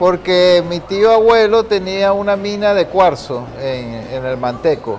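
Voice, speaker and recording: A man's high, lively voice at a very slow pace, with noticeable background noise. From Venezuela, Guayana region (Upata), born in Caracas. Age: 40s. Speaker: photographer. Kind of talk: TV interview.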